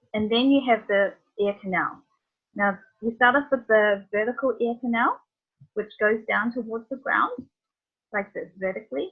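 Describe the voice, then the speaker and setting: Speaking in a New Zealand accent, a woman with a fairly high voice talks at a moderate pace with ordinary pitch variation and long, frequent pauses. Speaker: veterinarian. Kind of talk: lecture.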